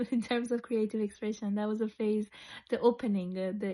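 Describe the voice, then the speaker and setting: In an Iranian accent, a woman speaks at a moderate pace with fairly high pitch, a dark, mellow tone and monotone, flat intonation. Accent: Iranian (Persian) accent in English. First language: Persian. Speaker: psychologist and creative wellbeing facilitator. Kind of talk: personal testimony. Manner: reflective, with hesitations and restarts.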